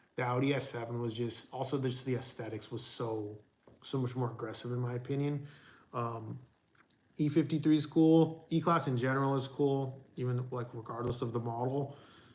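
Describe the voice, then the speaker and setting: There is audible room echo around a man's medium-pitched, somewhat breathy voice. He keeps a moderate pace and fairly even intonation. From raised in the US by a Persian immigrant family, born in England. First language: Farsi. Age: 40s. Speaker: audio reviewer and YouTuber. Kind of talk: live stream Q&A reading chat. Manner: casual, conversational.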